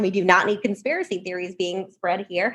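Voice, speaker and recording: This woman speaks at a fairly quick pace in an animated tone. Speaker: think tank policy fellow. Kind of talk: podcast interview. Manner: fast.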